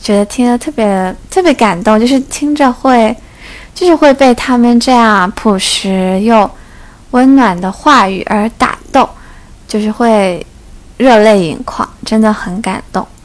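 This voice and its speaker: Her pitch is fairly high and varies in an ordinary way. The woman talks very slowly. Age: 20s. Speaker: podcast host. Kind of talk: casual solo chat.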